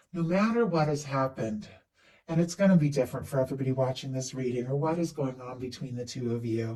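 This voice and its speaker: Talking at a very fast pace, a man with a fairly high pitch has a dark, mellow tone, a somewhat breathy quality and ordinary pitch variation. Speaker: tarot reader. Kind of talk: tarot reading. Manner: animated.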